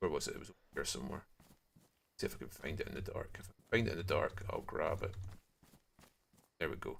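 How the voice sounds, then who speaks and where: A man with a Scottish accent talks at a very fast pace, broken by long, frequent pauses. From Scotland, far north. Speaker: video game streamer. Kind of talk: casual gaming livestream chat. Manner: sometimes speaks quietly.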